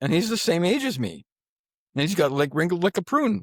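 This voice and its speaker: On a very clean recording with a silent background, a man talks at a fairly quick pace with a dry, close sound and no echo. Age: 60s. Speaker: business networking event organizer. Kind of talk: podcast interview. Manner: halting.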